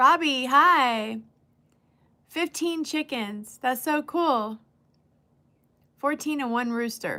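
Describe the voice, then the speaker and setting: With an American accent, a woman speaks very slowly in a raised, projected voice that is high-pitched, bright and sharp, with ordinary pitch variation and long, frequent pauses. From California. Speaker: livestreamer. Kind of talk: casual chat.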